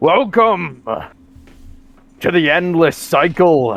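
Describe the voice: A man puts on a character voice, pitched high. He talks at a very slow pace.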